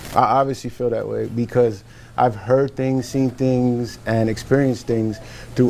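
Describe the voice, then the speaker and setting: Music plays in the background as a man talks at a moderate pace. His medium-pitched voice has a monotone, flat intonation. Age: 40s. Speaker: military veteran and business owner. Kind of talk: casual panel discussion.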